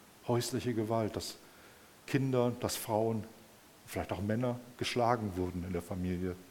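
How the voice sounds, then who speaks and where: With a warm tone and medium pitch, a man speaks at a moderate pace with ordinary pitch variation. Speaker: preacher. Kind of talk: sermon in a church service. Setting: church service with audience and screen. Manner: warm, conversational, addressing the congregation as 'euch'; animated, personal storytelling with rhetorical 'Ne?' asides.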